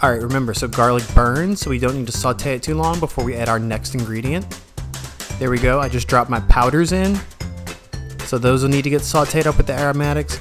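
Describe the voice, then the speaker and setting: Medium-pitched man's voice, very fast, upbeat in tone, with lively intonation and music in the background. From New Orleans. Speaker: home cook / cooking channel host. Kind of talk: cooking tutorial talk to camera. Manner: casual, upbeat.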